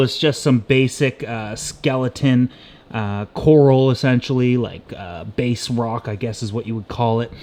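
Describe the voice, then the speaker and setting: A man speaks loudly at a moderate pace. His medium-pitched voice has a dark, mellow tone. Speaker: aquarium DIY YouTuber. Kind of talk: casual vlog talk to camera. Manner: animated.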